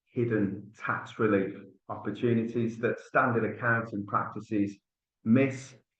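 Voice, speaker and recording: In a Birmingham accent, a man speaks at medium pitch and a fairly slow pace with monotone, flat intonation. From Birmingham area, England. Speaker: tax relief specialist. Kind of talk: business webinar presentation.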